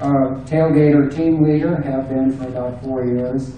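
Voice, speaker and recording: In a room with audible echo and noticeable background noise, a man talks at medium pitch in a flat monotone. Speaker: election candidate, retired engineer. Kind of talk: candidate speech at public forum.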